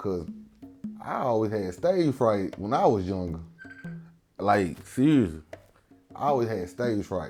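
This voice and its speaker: Music plays in the background as a speaker with a Mississippi Delta accent talks at a fairly slow pace. The intonation is lively, with long, frequent pauses. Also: man, fairly low pitch for a man. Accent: Southern US (Mississippi Delta). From Tunica, Mississippi Delta. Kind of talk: interview answer. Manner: casual, conversational.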